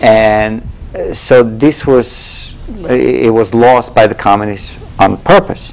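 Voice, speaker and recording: A man with a Bulgarian accent speaks at a very slow pace and medium pitch, with ordinary pitch variation. Noticeable background noise runs underneath. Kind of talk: interview answer.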